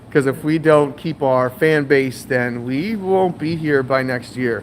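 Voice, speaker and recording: This man talks at a fairly slow pace in an ordinary speaking voice, with medium pitch and ordinary pitch variation. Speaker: aquarium shop owner. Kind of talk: live stream. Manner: casual, filler-heavy.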